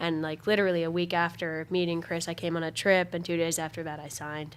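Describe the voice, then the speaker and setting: A woman with a Canadian accent talks at a fairly quick pace in a bright, sharp tone, recorded very cleanly against a silent background. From Canada, Kamloops, British Columbia. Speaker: student athlete, swimmer. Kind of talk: casual interview.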